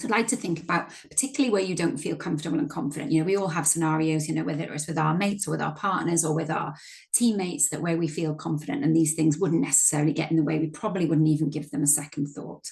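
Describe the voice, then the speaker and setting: A woman talks at a very fast pace with hardly any pauses. Her voice is somewhat breathy and very deep and low in pitch. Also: ordinary pitch variation. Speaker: workshop facilitator and coach. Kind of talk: training workshop presentation.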